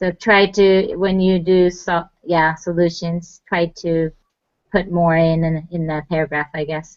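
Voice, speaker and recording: The delivery is fairly slow and monotone, with flat intonation throughout. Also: woman, fairly low pitch for a woman. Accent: non-native. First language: not English. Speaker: student. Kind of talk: casual chat.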